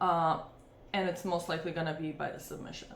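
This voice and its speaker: A woman speaks with a non-native accent. Room echo is audible. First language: not English. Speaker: MMA fight analyst, channel host. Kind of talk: fight picks breakdown. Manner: casual, hesitant with many fillers.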